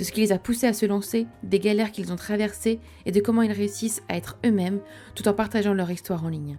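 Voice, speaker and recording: A woman's medium-pitched voice at a very fast pace, with ordinary pitch variation and music in the background. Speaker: podcast host. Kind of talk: podcast intro.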